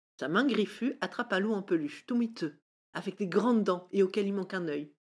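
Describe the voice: Plain reading aloud with ordinary pitch variation is heard over a quiet background.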